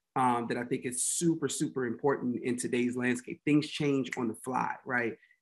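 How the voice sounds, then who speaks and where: A man of medium pitch talks in a monotone, flat intonation with an American accent. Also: moderate pace. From Washington, D.C. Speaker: talent manager and agency founder; podcast guest. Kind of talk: casual interview chat. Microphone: webcam.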